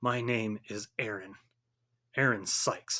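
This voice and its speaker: A man puts on a raspy character voice at medium pitch. He goes at a fairly slow pace with fairly even intonation. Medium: read story.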